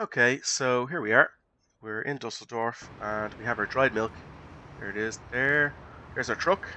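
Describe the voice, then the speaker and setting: In an Irish accent, a man of medium pitch speaks at a moderate pace with ordinary pitch variation, big swings in loudness and long, frequent pauses against a quiet background. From Ireland. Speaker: gaming YouTuber. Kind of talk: let's play commentary. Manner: hesitant, many fillers.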